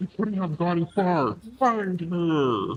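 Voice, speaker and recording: A man performs a put-on character voice. It is high-pitched, with lively intonation. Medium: virtual streamer. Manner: smug, menacing.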